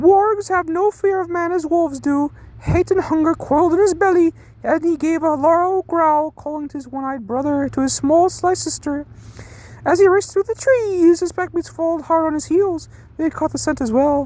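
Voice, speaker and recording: A woman speaks in a put-on character voice, squeaky and extremely high-pitched. Her pace is moderate over light background noise. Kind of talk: casual comedic book reading. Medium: read story. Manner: jokey, interrupting himself.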